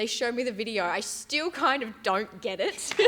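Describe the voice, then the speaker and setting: A woman with an Australian accent and ordinary pitch variation, on a very clean recording with a silent background. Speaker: gym staff member. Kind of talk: casual chat.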